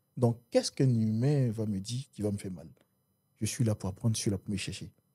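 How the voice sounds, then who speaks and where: Recorded dry and close with no echo, a somewhat breathy man talks at a fairly quick pace, his dark, mellow tone sitting fairly low with ordinary pitch variation and big swings in loudness. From Ivory Coast. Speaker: business executive. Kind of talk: interview conversation. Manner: repetitive filler words, stammering starts.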